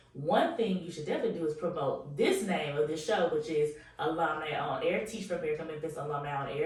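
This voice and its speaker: Very fast speech is heard over noticeable background noise. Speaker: podcast host. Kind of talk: interview podcast.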